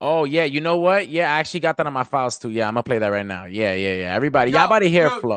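Speaking with a New York accent, a man goes at a very fast pace with hardly any pauses against a quiet background. His pitch is fairly high and swings very widely. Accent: New York (Bronx). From New York, the Bronx. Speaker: hip hop artist. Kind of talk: casual chat. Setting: video call. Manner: animated.

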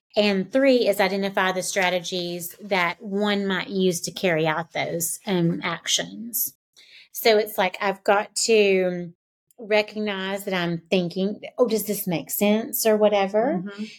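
On a very clean recording with a silent background, a woman with a normal speaking voice talks at a fairly slow pace, at a medium pitch with fairly even intonation. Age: 40s. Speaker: teacher and podcast co-host. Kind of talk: casual chat.

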